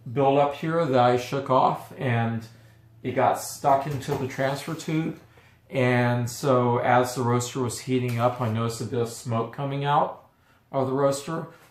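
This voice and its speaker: A man speaks at a medium pitch. Audible room echo surrounds his voice. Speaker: coffee roaster and video host. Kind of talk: product review and tutorial. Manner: halting with stutters and fillers.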